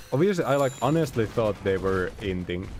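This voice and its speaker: Amid noticeable background noise, a man with a non-native accent speaks fairly quickly in an animated tone. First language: not English. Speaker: video game streamer. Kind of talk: live gameplay stream chat. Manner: casual, animated.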